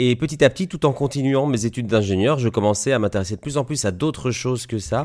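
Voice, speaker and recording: In a very clean recording with a silent background, a man of medium pitch talks at a very fast pace with hardly any pauses and ordinary pitch variation. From Belgium, Liège. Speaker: osteopath. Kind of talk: interview.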